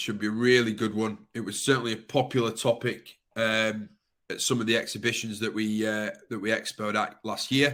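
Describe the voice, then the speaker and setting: Speaking in a northern English accent, a man holds a medium pitch with monotone, flat intonation. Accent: broad northern English. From Yorkshire, northern England. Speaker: webinar presenter. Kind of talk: webinar host waiting-room chat. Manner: casual, filler-heavy.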